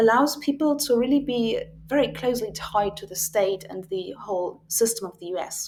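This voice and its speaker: At a moderate pace, the speaker talks in a British accent. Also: woman. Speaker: university tutor. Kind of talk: lecture.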